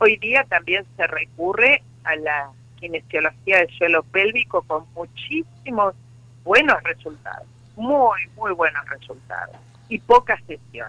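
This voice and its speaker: At a very slow pace, a woman speaks at a medium pitch with very wide pitch swings. Her loudness swings a lot too. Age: 60s. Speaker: psychologist and sex therapist. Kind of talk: interview.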